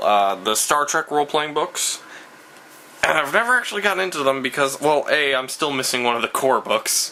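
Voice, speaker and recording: Over noticeable background noise, the voice makes very wide pitch swings at a moderate pace. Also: man, very even loudness. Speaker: vlogger. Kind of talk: casual vlog monologue. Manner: hesitant, many fillers.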